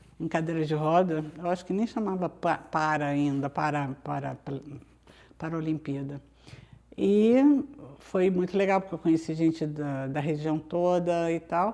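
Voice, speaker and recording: A woman with a very deep, low pitch and a dark, mellow tone speaks at a fairly slow pace, with ordinary pitch variation and long, frequent pauses. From Brazil, Rio de Janeiro (Copacabana). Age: 60s. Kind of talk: interview. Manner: hesitant, many fillers and restarts.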